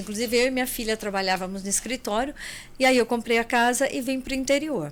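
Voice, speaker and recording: Her pitch is high for a woman. Her pitch varies in an ordinary way. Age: 60s. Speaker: accountant and travel agency owner. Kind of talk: podcast interview.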